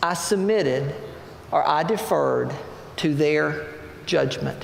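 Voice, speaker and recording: Noticeable background noise and audible room echo fill the recording. A man speaks at a very slow pace. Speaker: pastor. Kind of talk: sermon.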